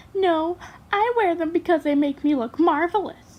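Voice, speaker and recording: A woman puts on a character voice with extremely high pitch. She keeps a moderate pace and ordinary pitch variation. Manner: playful, sassy.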